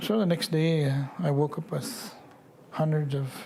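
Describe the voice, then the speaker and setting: Somewhat breathy and fairly high in pitch, a man speaks at a very slow pace. His pitch variation is ordinary. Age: 60s. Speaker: residential school survivor. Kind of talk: testimony. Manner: halting.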